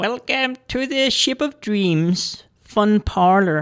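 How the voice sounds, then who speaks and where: A put-on character voice at fairly high pitch comes through on a very clean recording with a silent background. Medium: audio drama.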